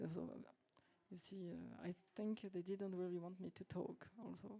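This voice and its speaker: A woman speaks with a non-native accent in a dark, mellow tone and fairly low pitch. Her pace is fairly slow and her intonation is monotone and flat. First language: not English. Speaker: French teacher; workshop participant. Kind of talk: casual group discussion. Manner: halting.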